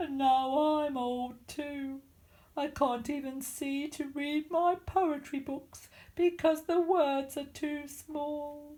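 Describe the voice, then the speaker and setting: A put-on character voice bellows at a high pitch and a very slow pace. The recording is very clean with a silent background. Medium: read story. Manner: gruff, roaring.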